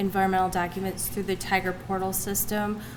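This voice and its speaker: A soft-spoken woman with a medium pitch talks over noticeable background noise, with audible room echo around her voice. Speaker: state agency trainer. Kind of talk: training presentation.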